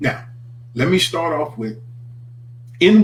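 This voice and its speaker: The man's voice is somewhat breathy. He moves at a moderate pace with ordinary pitch variation. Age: 60s. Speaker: minister. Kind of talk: morning reflection broadcast. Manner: animated.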